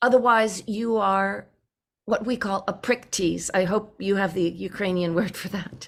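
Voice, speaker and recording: A woman with an American accent speaks at a medium pitch and a moderate pace. Her intonation is fairly even, with vocal fry. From California. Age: 70s. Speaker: recovery program speaker. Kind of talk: personal testimony.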